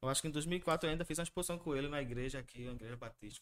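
A man speaks with a Pernambuco accent and lively intonation. The recording is very clean, with a silent background. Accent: Pernambuco Brazilian Portuguese. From Recife, Pernambuco, Brazil. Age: 30s. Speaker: tattoo artist and illustrator. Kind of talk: interview. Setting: live-streamed podcast studio.

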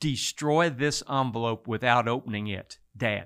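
In a Texan accent, a man speaks with fairly even intonation. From Texas Hill Country. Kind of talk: interview testimony.

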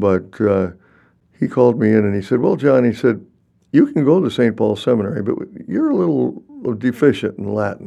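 A man's dark, mellow voice at a medium pitch, with an American accent, lively intonation and a fairly quick pace. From Minnesota. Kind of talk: casual interview. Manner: halting.

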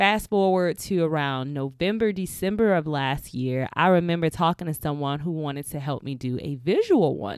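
Animated in tone, a woman speaks with a very deep, low pitch and lively intonation. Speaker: podcaster. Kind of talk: solo podcast monologue, casual. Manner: animated, chatty.

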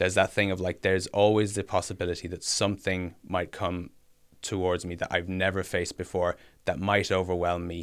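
A man's very deep, low voice with an Irish accent, monotone and flat, at a fairly quick pace in a very clean recording with a silent background. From Ireland, Kilkenny. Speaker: musician. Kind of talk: personal testimony.

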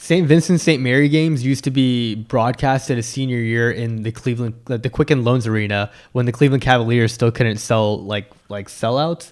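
A man with an ordinary speaking voice, medium in pitch with ordinary pitch variation, at a fairly quick pace, in a very clean recording with a silent background. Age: 20s. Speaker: sports podcast host. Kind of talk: casual chat.

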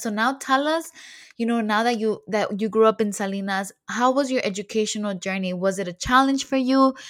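A woman with an ordinary speaking voice talks at a fairly quick pace with a fairly high pitch and ordinary pitch variation. The recording is very clean, with a silent background. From Mexican-American family (father from Jalisco). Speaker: podcast host. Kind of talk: casual interview, Spanglish. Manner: upbeat.

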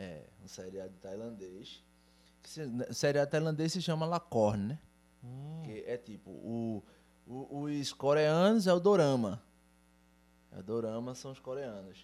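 Speaking at a fairly slow pace, a man leaves long, frequent pauses while his pitch swings very widely and his loudness rises and falls sharply. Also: medium pitch for a man. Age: 30s. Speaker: metal drummer. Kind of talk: casual chat.

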